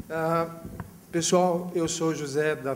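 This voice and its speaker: Noticeable background noise accompanies a man with a fairly high pitch speaking at a fairly slow pace. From Brazil. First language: Portuguese. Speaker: tech company representative. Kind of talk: panel talk.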